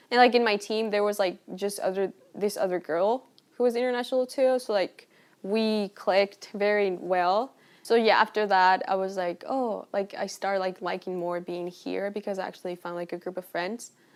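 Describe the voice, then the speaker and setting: The recording is very clean, with a silent background. A woman speaks at medium pitch in a Spanish accent. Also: fairly even intonation, moderate pace. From Colombia. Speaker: university student. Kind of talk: casual interview.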